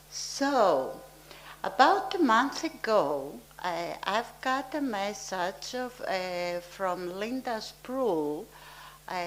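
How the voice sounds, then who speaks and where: Amid audible room echo, a woman in a Greek accent speaks very slowly with very wide pitch swings. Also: medium pitch for a woman. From Greece, Arcadia. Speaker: archaeologist, museum director. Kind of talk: lecture. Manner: halting, many hesitations.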